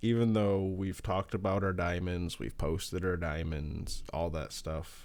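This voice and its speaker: On a very clean recording with a silent background, a man with a rural US accent mumbles at a fairly slow pace in a very deep, low pitch. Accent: lazy country. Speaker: podcast co-host. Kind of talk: casual chat. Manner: mumbling, clipped words.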